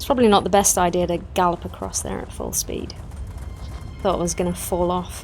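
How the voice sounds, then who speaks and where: A woman speaks at a fairly quick pace. Music plays in the background. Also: big swings in loudness. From Newcastle, northeast England. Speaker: video game streamer. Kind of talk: casual livestream gameplay chat.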